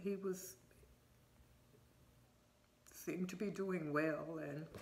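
A woman's fairly low voice with fairly even intonation at a very slow pace. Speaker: vlogger. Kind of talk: casual vlog chat. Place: home room. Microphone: phone near.

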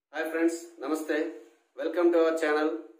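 The background is quiet and there is audible room echo. A man speaks at a fairly high pitch. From Srikakulam, Andhra Pradesh; Andhra Pradesh, India. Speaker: YouTube interviewer, teacher. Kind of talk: interview. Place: studio. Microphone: lapel.

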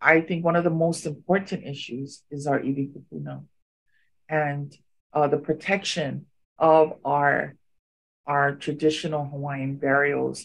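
A woman's very deep, low voice at a fairly slow pace, flat and monotone, over a quiet background. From Hawaii. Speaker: activist. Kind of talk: interview. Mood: earnest, advocating. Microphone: video call.

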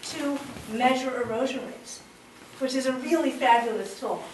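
Noticeable background noise runs under this recording. A woman speaks at a moderate pace in a high pitch. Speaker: geomorphology researcher and PhD candidate. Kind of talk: public lecture. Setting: live presentation to an audience. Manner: casual, enthusiastic.

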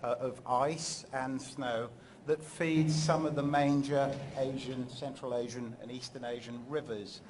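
Somewhat breathy and fairly slow, a man speaks with fairly even intonation against noticeable background noise. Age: middle-aged. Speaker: geography professor. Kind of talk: scientific presentation. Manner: halting, many fillers. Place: hall. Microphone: podium.

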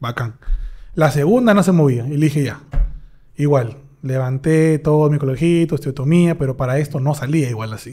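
Against a quiet background, a man speaks at a fairly quick pace with long, frequent pauses in a dark, mellow, somewhat breathy voice. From Peru, Huacho; Peru. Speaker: dentist; dentist podcast host. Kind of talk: casual chat. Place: studio. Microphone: studio mic.

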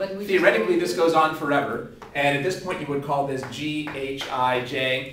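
A man speaks at a moderate pace. There is audible room echo and noticeable background noise. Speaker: tutor. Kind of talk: tutoring explanation. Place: classroom. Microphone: camera far.

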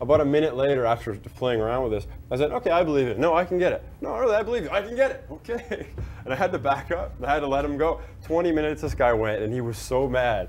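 Very fast male speech with very wide pitch swings over light background noise. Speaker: bartending instructor. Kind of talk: tutorial with anecdote. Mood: amused, storytelling. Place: bar.

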